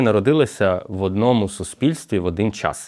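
Against a quiet background, a man speaks at a fairly quick pace with lively intonation. He has an ordinary speaking voice. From Ukraine. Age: 30s. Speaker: university rector and sociologist. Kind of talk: podcast conversation.

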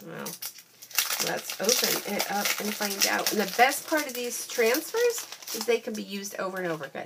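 A woman with a plain, everyday voice speaks at a moderate pace in a medium pitch, her intonation lively over light background noise. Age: 50s. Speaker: craft demonstrator. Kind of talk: product haul video. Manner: chatty, filler-heavy. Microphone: phone near.

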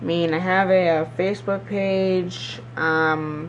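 A man speaks slowly with fairly even intonation. His pitch is high.

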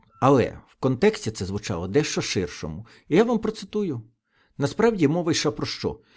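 On a very clean recording with a silent background, a man with a fairly high pitch and vocal fry speaks at a moderate pace. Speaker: political video blogger. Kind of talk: solo political commentary.

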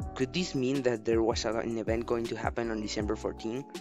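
Music in the background behind a man's medium-pitched voice with ordinary pitch variation. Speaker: gaming video creator. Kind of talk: video game commentary voiceover.

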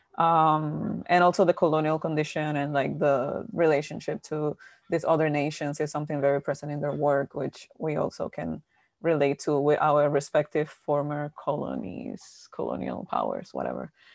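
A woman talks at a very deep, low pitch with vocal fry, fairly even intonation and a moderate pace. The sound is dry with no echo, and the background is quiet. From Dominican Republic. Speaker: visual artist; panelist. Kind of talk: panel discussion. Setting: video call. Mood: thoughtful, reflective. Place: home room. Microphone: earbuds.

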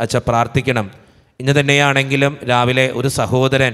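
The speaker's intonation is monotone and flat against a quiet background. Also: man. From Kerala, India. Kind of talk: prayer service, reading out prayer requests. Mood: calm devotional. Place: church. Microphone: podium.

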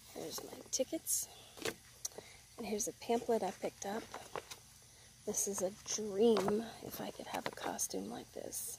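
A woman with a fairly high pitch speaks with big swings in loudness and long, frequent pauses. The sound is dry with no echo, and there is noticeable background noise. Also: ordinary pitch variation, fairly slow pace. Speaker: ASMR creator. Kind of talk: ASMR unboxing haul, casual talk to camera. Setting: outdoors with birdsong. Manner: casual, chatty. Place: garden. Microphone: phone near.

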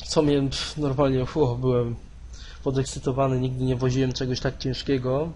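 A man's medium-pitched voice with a Polish accent, monotone, flat intonation, and a moderate pace, amid noticeable background noise. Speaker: gaming youtuber. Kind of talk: casual gameplay commentary. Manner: halting, hesitant.

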